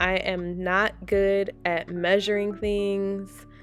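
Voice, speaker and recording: A woman speaks with music in the background. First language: Haitian Creole. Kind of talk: casual cooking voiceover.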